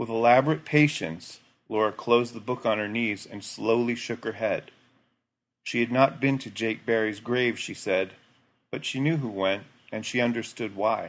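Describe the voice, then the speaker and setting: A man's ordinary speaking voice at medium pitch, moderate pace and fairly even intonation, on a very clean recording with a silent background. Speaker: guest narrator reading a short story. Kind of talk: literary audiobook reading. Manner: measured, hushed storytelling pace with soft, even narration.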